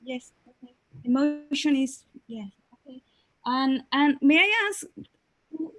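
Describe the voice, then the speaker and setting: With lively intonation and a high pitch, a woman speaks with long, frequent pauses. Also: fairly slow pace, big swings in loudness. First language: not English. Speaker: webinar participant asking a question. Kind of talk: Q&A in a webinar. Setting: online webinar. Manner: halting, many fillers.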